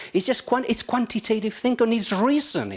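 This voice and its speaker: A man speaks with a Spanish accent. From Spain. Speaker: journalism professor. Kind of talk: conference talk. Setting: stage with audience.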